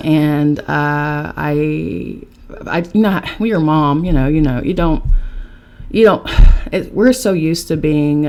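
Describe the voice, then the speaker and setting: In an American accent, a woman with a very deep, low pitch talks at a fairly slow pace amid noticeable background noise. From West Virginia, Charleston. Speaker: podcast guest, spiritual content creator. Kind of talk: casual interview. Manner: animated.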